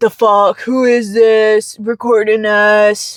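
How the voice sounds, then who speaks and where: In a put-on character voice with a fairly high pitch, the speaker goes at a very slow pace. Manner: mocking.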